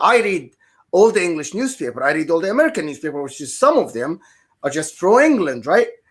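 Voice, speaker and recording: A high-pitched man with an Arabic accent and very wide pitch swings. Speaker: football podcast panelist. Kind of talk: casual chat.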